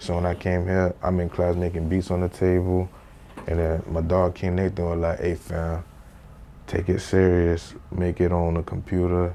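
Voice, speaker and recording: A man's very deep, low voice with a dark, mellow tone, monotone and flat in intonation, at a moderate pace. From Haiti, moved to South Florida at about seven. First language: Haitian Creole. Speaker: rapper and studio engineer. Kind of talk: casual interview. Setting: sit-down interview. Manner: casual slangy delivery.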